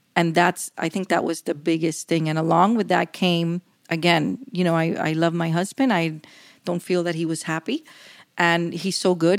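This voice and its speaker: A woman with an unremarkable speaking voice, fairly low in pitch, at a moderate pace with fairly even intonation, in a very clean recording with a silent background and a dry, close sound with no echo. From Cuban-American community. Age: 50s. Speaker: professional coach and speaker. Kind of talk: interview conversation.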